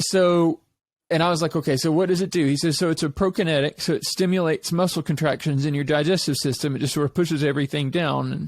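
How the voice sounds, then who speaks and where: On a very clean recording with a silent background, a man talks at a very fast pace and fairly high pitch, keeping very even loudness and fairly even intonation. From Eastern Kentucky, US. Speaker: podcast host, real estate agent. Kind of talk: casual interview conversation.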